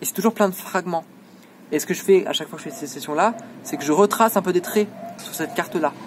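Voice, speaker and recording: A man speaks in a high voice at a very fast pace, with ordinary pitch variation, long and frequent pauses, and noticeable background noise. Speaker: student making a self-filmed video diary. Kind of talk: self-recorded monologue. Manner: hesitant, many fillers.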